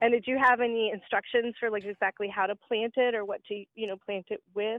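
This woman has an unremarkable speaking voice with an American accent. Her pitch is fairly high and her intonation fairly even. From Georgia, US South. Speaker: teaching assistant. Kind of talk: phone-in call.

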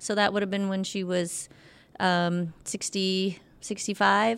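A woman talks at a fairly slow pace, her medium pitch held in a flat, monotone line. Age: 50s. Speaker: personal trainer. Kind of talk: casual chat.

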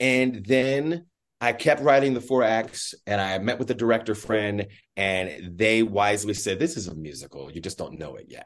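A man speaks in an ordinary speaking voice, fairly low-pitched, at a moderate pace, with lively intonation and big swings in loudness. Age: middle-aged. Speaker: stage actor, playwright and director. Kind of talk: interview conversation.

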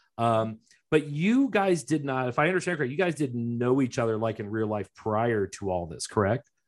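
Here is a man with an unremarkable speaking voice at medium pitch and lively intonation. The recording is very clean, with a silent background. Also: moderate pace. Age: 40s. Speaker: podcast host. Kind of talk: casual interview chat.

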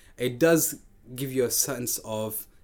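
A man at medium pitch, slow pace, ordinary pitch variation

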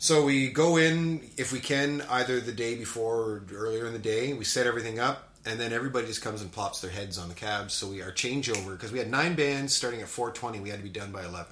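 With hardly any pauses, a man of medium pitch rushes along at a very fast pace with ordinary pitch variation, amid noticeable background noise. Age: 40s.

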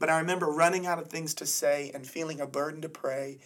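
This man talks at a very fast pace in an American accent. His intonation is monotone and flat. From Florida, US. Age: 30s. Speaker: evangelist preacher. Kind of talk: testimony in interview.

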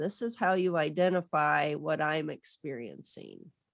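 A woman with an American accent speaks at a fairly slow pace on a very clean recording with a silent background. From Southwest Michigan, US. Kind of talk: casual interview.

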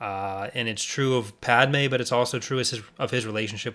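A man speaks fairly quickly in a bright, sharp tone on a very clean recording with a silent background. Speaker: podcast host. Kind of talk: casual chat.

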